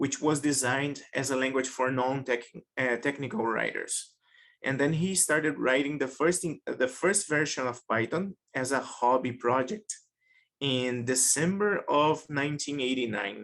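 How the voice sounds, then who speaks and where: With a Portuguese accent, the speaker keeps a moderate pace, ordinary pitch variation and very even loudness. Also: man, fairly high pitch for a man. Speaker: data science researcher. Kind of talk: webinar lecture.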